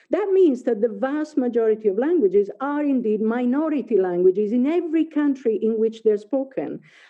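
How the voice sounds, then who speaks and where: A woman with an Italian accent speaks at a high pitch and a fairly quick pace. Her intonation is lively and she barely pauses. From Italy. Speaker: professor. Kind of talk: lecture. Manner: halting, many fillers.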